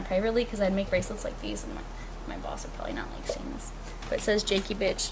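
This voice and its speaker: A woman's animated tone at a very fast pace, with audible room echo and noticeable background noise. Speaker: artist. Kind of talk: casual chat. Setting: at home.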